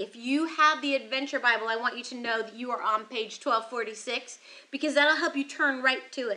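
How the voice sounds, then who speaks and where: In a raised, projected voice with a bright, sharp tone, a woman speaks at a fairly quick pace. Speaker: children's ministry teacher. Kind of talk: kids' Bible lesson to camera. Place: studio.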